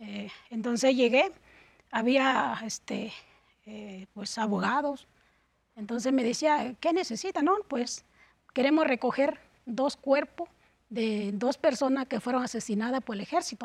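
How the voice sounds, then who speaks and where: This woman talks at a high pitch and a fairly slow pace, with long, frequent pauses. Her loudness swings widely. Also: ordinary pitch variation. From Guerrero mountain region, Mexico. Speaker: human rights defender. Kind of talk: interview. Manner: halting, many fillers.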